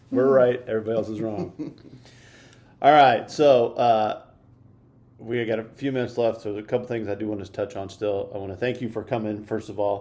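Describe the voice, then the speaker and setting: Someone with an American accent speaks at a fairly quick pace in a dark, mellow tone with fairly even intonation, and audible room echo is present. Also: man, medium pitch for a man. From US Midwest. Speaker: church podcast host. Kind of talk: church announcements; casual interview chat.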